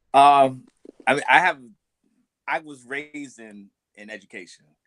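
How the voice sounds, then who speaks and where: A man with an American accent and an ordinary speaking voice talks at a moderate pace, his fairly high pitch showing ordinary variation while his loudness swings widely. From United States. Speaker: teacher. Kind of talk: panel discussion.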